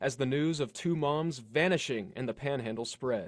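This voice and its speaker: An ordinary speaking voice from a man, fairly high in pitch, with ordinary pitch variation, at a moderate pace, over a quiet background. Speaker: television news reporter. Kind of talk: broadcast news reporting, on-scene and voiceover.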